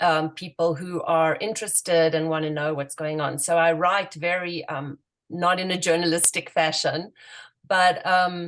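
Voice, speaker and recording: A woman speaks with a South African accent. Her intonation is flat and monotone. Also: fairly low pitch for a woman, moderate pace. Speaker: activist and writer. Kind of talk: radio interview. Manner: hesitant, many fillers.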